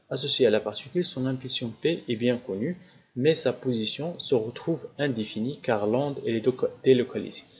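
The speaker is a man with ordinary pitch variation. He talks at a very fast pace. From Morocco. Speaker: physics teacher. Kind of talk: lecture. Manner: halting. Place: home room. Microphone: studio mic.

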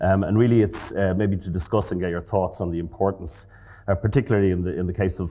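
In an Irish accent, a man speaks in a very deep, low pitch with a dark, mellow tone, vocal fry, and ordinary pitch variation. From Ireland. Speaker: professor of physiology. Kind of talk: interview. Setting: stage with audience. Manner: halting, repeats words. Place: hall. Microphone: lapel.

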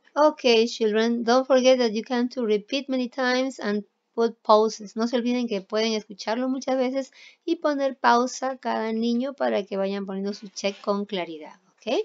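This woman talks at a fairly slow pace. Her voice is pitched high. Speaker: primary school English teacher. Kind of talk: online class, bilingual lesson. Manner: slow, repeating each phrase in Spanish.

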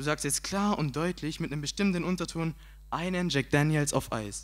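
Against a quiet background, a man talks at a moderate pace in a fairly high voice with an animated tone. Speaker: slam poet. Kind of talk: poetry slam performance, comic storytelling. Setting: stage with audience. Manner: animated, punchy comic delivery; casual, colloquial, cheeky. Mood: humorous storytelling, acts out self-talk. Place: stage. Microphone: handheld.

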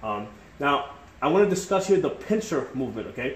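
A man speaks at a moderate pace, and audible room echo surrounds his voice. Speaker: tactics instructor. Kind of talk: tutorial. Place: kitchen. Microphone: phone near.

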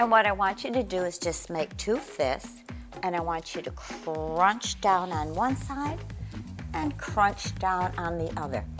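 A woman at a very slow pace over clear music in the background. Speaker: fitness instructor. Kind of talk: tutorial. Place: gym. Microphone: lapel.

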